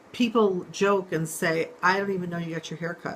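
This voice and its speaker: Over noticeable background noise, a woman talks fairly quickly at a fairly low pitch with ordinary pitch variation. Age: 60s. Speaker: real estate manager. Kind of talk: testimony. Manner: hesitant, with fillers.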